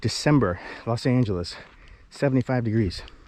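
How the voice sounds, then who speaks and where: This man's medium-pitched voice moves at a moderate speed, with noticeable noise in the background. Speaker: indie filmmaker and YouTuber. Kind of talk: vlog walking tour. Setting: outdoors on a hiking trail. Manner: casual, playful.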